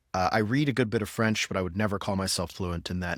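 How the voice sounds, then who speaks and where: Very fast and fairly low in pitch, a man talks with ordinary pitch variation in a very clean recording with a silent background. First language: Spanish. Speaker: podcast host, marketing professional. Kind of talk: casual chat.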